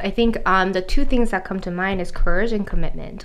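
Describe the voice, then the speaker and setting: Over noticeable background noise, a woman with a Korean accent speaks fairly quickly at a medium pitch with lively intonation. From South Korea, moved to US at 11. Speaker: author and life coach. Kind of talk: interview conversation.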